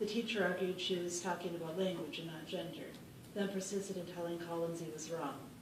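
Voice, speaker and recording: Noticeable background noise behind a woman's fairly low voice, fairly quick and fairly even in intonation. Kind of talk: personal story read aloud.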